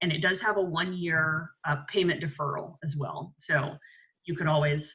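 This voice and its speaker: Pitched fairly low, a woman speaks in a bright, sharp tone. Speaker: business alliance host. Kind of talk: community video call update. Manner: fast.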